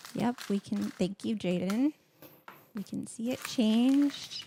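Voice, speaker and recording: Soft-spoken and fairly high-pitched, a woman talks with ordinary pitch variation and leaves long, frequent pauses. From Latin American heritage. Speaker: co-host helper. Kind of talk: casual livestream chat. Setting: host's home kitchen, livestream.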